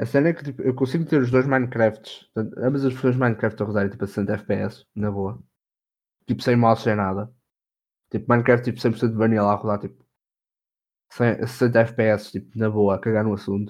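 Against a quiet background, a man at medium pitch talks at a moderate pace with fairly even intonation and long, frequent pauses. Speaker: podcast co-host. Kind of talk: casual chat.

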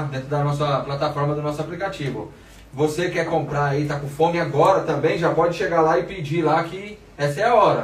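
Amid noticeable background noise and audible room echo, a man with a fairly high pitch talks at a moderate pace. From Brazil, Diadema. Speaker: podcast host. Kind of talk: casual interview chat. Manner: slangy, relaxed.

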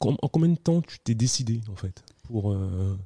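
A man's dark, mellow, somewhat breathy voice at medium pitch and a fairly slow pace, in a dry, close sound with no echo. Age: 30s. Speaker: podcast host. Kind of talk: casual interview. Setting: coworking space.

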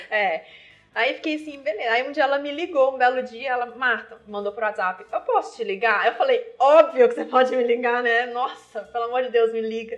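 Speaking at a fairly quick pace, a woman uses a high voice with ordinary pitch variation. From Minas Gerais, Brazil (Viçosa). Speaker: beer sommelier. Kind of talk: casual interview.

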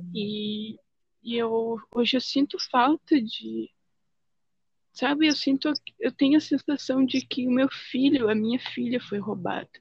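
The speaker goes at a fairly slow pace with long, frequent pauses. The pitch shows ordinary variation. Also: woman, high pitch for a woman. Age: 20s. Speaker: guest sharing spiritual and UFO experiences. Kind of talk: casual chat.

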